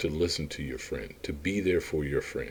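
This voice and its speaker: A man's voice with a dark, mellow tone. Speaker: motivational speaker / business coach. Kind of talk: motivational monologue. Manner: repetitive, emphatic.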